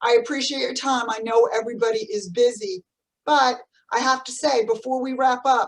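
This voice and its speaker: A New Jersey accent at a moderate pace, with fairly even intonation. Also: woman. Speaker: podcast host, business CEO. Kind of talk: interview. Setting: video call.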